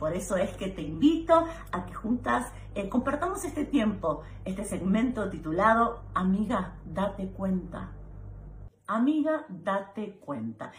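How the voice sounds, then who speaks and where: A woman at medium pitch makes very wide pitch swings. Noticeable background noise runs behind her. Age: 40s. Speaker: advice video host. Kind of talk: direct-to-camera advice monologue.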